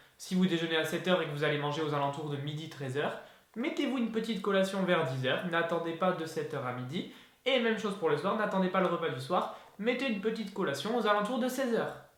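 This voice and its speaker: A man's high-pitched, animated voice at a very fast pace, with lively intonation, audible room echo and noticeable background noise. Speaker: fitness youtuber. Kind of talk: tutorial. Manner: casual, animated.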